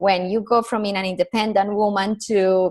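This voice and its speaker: A woman's medium-pitched voice with a Colombian accent. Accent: Colombian Spanish accent, noticeable. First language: Spanish. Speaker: personal branding consultant. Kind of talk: podcast interview.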